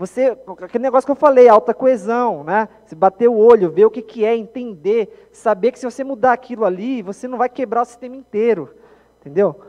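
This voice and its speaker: Animated in tone, a man talks at a fairly quick pace in an extremely high pitch with ordinary pitch variation and big swings in loudness. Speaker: software developer and conference speaker. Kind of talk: conference talk. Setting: stage with audience. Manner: fast.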